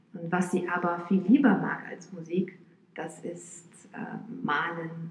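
Through audible room echo and noticeable background noise, a woman with a fairly low pitch talks at a very slow pace with ordinary pitch variation. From Romania, Bucharest. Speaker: violinist. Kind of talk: interview. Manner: hesitant with fillers.

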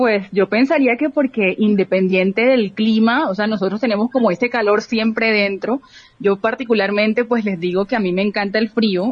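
Speaking with a strong Barranquilla accent, a woman has a somewhat breathy, fairly high voice with ordinary pitch variation, very even loudness and a moderate pace. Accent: Barranquilla coastal accent, still strong. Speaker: youth organization director, entrepreneur. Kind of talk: radio interview.

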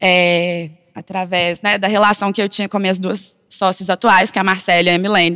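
A woman's bright, sharp tone at a moderate pace, dry and close with no echo. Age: 20s. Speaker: designer and content producer. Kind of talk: panel discussion.

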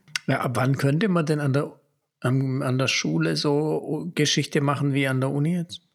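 A man's fairly high-pitched voice, a normal speaking voice, at a moderate pace with ordinary pitch variation. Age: 40s. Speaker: podcast host, father and former history teacher. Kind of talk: casual chat.

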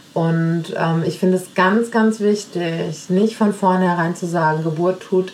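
The intonation holds fairly even. Beneath the speech runs noticeable background noise. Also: woman. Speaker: podcast host and family coach. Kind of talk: casual monologue answering listener questions. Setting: home kitchen, baby in sling. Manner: hesitant with many fillers.

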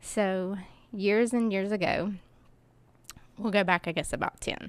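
In a very clean recording with a silent background, a woman speaks with an Appalachian accent. Her pace is fairly slow and her intonation monotone and flat. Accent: Appalachian Southern US. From US South, Kingsport, Tennessee. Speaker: charity founder. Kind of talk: interview.

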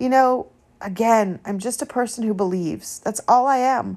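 In an ordinary speaking voice, a woman speaks at a moderate pace with fairly even intonation in a very clean recording with a silent background. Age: 50s. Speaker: faith podcast host. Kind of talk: personal testimony monologue.

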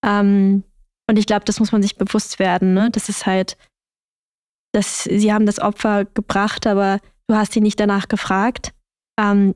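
The woman speaks in a flat monotone, recorded with a dry, close sound and no echo. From Germany. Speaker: podcast host. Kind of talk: casual chat.

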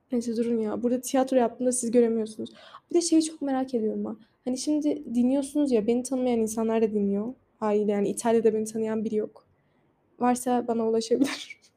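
Very fast and fairly high-pitched, a woman with a non-native accent talks with fairly even intonation. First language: not Turkish (speaking Turkish). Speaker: podcaster. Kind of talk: casual monologue. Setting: outdoors on a balcony.

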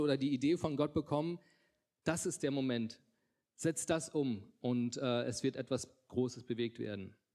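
The recording is very clean, with a silent background. A man talks at a moderate pace in a fairly high pitch, with ordinary pitch variation. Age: 30s. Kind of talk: testimony. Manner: halting, many filler sounds.

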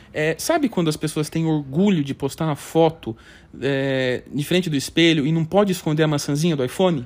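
A man with a normal speaking voice and a fairly high pitch talks at a fairly quick pace. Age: 20s. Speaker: podcast host. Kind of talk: casual chat.

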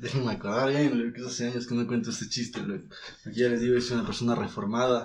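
This man talks at a very fast pace in a medium pitch. His intonation stays fairly even, and room echo is audible. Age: 20s. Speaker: film student. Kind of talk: casual chat.

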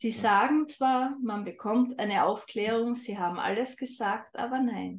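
A woman with a fairly high voice and a slight Austrian accent speaks at a fairly slow pace with fairly even intonation. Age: 30s. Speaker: holistic health coach. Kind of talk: interview.

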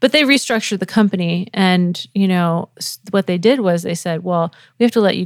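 A woman with an American accent and an ordinary speaking voice, medium pitch and ordinary pitch variation, on a very clean recording with a silent background and a dry, close sound with no echo. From New England. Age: 40s. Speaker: music producer and live show designer. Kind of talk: casual interview. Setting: her studio.

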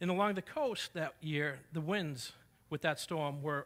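A man with a New England accent talks at a moderate pace in a fairly high pitch and a bright, sharp tone. The recording is very clean, with a silent background. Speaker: preacher. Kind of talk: sermon. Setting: church.

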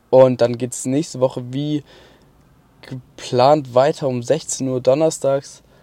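Very slow speech in a dark, mellow tone, with monotone, flat intonation, long, frequent pauses and big swings in loudness. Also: man, medium pitch for a man. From Baden-Württemberg, Mannheim area. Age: 20s. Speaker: podcaster. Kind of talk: casual monologue. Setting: in a car at a motorway rest stop. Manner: hesitant, filler-heavy.

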